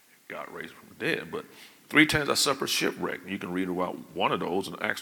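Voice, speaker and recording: Over noticeable background noise, a man speaks in an animated tone with a very deep, low pitch. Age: 60s. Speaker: pastor. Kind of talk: sermon. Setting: church.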